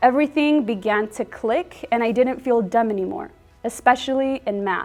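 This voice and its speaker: Music plays behind a woman with a Spanish accent and a fairly high pitch. She speaks at a moderate pace with ordinary pitch variation. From Texas, Dallas area. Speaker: middle school teacher. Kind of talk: prepared speech at an award event. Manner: formal.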